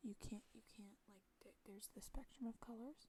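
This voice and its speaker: The voice is soft-spoken. It moves at a fairly slow pace. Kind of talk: ASMR soft-spoken rambling chat. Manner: casual, rambling.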